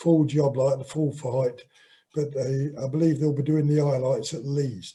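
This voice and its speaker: Here a man with an East Midlands accent talks at a fairly high pitch, his tone dark and mellow. His voice is somewhat breathy and his intonation fairly even. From Nottinghamshire, England. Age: 60s. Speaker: boxer. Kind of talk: interview.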